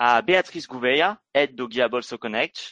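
A man speaks at a fairly slow pace with a bright, sharp tone. The sound is dry and close with no echo, and the background is quiet. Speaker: business developer, event opener. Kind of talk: scripted introduction.

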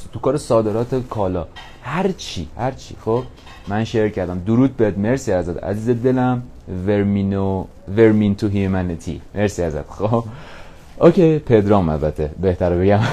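Fairly low-pitched man at a moderate pace, with lively intonation. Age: 20s. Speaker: podcaster. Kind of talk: motivational monologue. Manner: casual, energetic.

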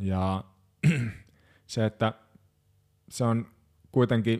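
A man speaks at medium pitch with fairly even intonation. The recording is very clean, with a silent background and a dry, close sound lacking any echo. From Finland, Hamina (Kymenlaakso). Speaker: progressive metal drummer. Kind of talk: casual chat.

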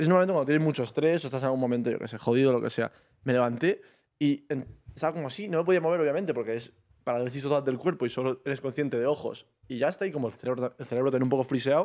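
The speech runs at a very fast pace with ordinary pitch variation over a quiet background. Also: man, medium pitch for a man. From Almería, Spain. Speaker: podcast co-host. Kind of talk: casual chat.

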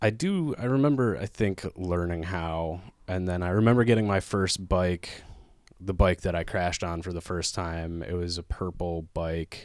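A man with a very deep, low pitch and an Upper Midwest accent, moderate pace, ordinary pitch variation, very clean recording with a silent background. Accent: Upper Midwest American. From Minnesota, Twin Cities area. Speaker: stand-up comedian. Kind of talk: casual chat.

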